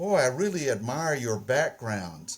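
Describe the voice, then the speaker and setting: A man speaks in a Southern US accent with very wide pitch swings. His voice is somewhat breathy. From US South, Mississippi. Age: 80s+. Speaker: painter. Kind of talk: interview. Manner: halting, repeats words.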